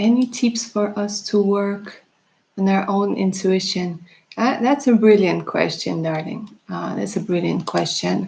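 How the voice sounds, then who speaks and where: A woman's fairly slow speech carries a somewhat breathy tone and fairly even intonation. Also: medium pitch for a woman. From Russia, left at age eleven. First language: Russian. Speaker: tarot reader. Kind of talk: live stream chat with viewers. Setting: live stream. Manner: casual, chatty.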